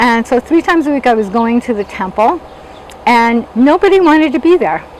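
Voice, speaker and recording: Against noticeable background noise, a woman with an American accent speaks in a high pitch with lively intonation. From US, Los Angeles. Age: 60s. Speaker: interviewee telling life story. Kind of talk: personal testimony. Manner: conversational, with fillers.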